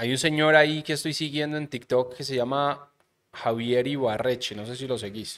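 The speaker has a Medellín Colombian accent and a moderate pace. The intonation stays fairly even. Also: man. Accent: Colombian paisa (Medellín) Spanish. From Colombia, Medellín. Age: 30s. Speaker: podcast host. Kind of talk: casual chat. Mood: relaxed, joking, storytelling. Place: studio. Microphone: studio mic.

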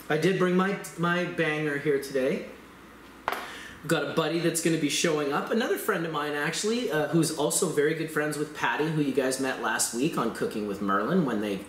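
The recording has audible room echo and light background noise. Through it, a man talks at a moderate speed. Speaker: show host. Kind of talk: casual vlog chat. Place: home room. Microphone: camera far.

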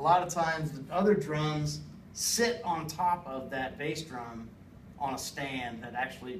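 Light background noise and audible room echo accompany a man speaking with ordinary pitch variation. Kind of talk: informative class speech. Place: classroom.

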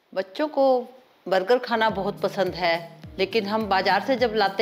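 In the background, music can be heard. Over it, a woman talks at a medium pitch. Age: 60s. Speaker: home cook. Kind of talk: cooking tutorial talk.

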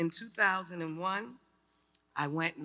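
A woman with a New York accent speaks with a very deep, low pitch and a bright, sharp tone. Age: 60s. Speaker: artist and community advocate. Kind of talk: personal testimony speech. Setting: stage with audience. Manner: animated. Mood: personal, earnest storytelling. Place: hall. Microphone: podium.

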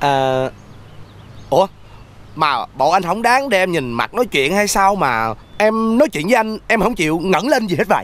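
Speaking fairly slowly in a high voice, a man swings his pitch very widely and leaves long, frequent pauses, the sound dry with no echo. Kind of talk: scripted drama dialogue. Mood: flirtatious, flattering, cheerful. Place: home room.

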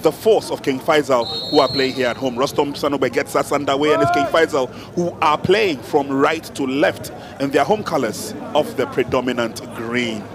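A man with a fairly high pitch talks while noticeable background noise is heard. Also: ordinary pitch variation, moderate pace. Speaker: football play-by-play commentator. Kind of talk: live football match commentary. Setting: commentary position at stadium. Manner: excitable, rising to bursts of exclamation at chances.

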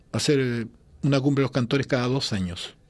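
The background stays quiet. A man speaks at a fairly quick pace. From Chile (Santiago); Chile. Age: 60s. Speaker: singer-songwriter; guest. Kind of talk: interview. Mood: relaxed, nostalgic, smiling. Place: studio. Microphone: studio mic.

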